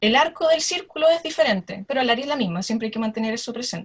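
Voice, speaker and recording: This is a woman's voice. Her pitch sits high. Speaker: astronomer. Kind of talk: lecture. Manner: fast.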